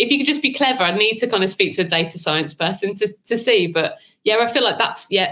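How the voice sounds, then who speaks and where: The speaker has a strong Birmingham accent and a very fast pace. The intonation is lively while the loudness stays very even. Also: woman, fairly high pitch for a woman. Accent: thick Birmingham. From Birmingham, England. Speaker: marketing consultant, AI trainer. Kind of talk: interview.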